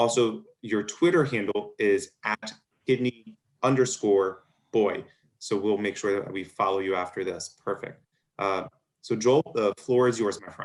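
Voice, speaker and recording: With a Baltimore accent, a man speaks at a fairly slow pace. His fairly low voice moves through ordinary pitch variation. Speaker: physician moderating a medical webinar. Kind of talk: webinar Q&A moderation.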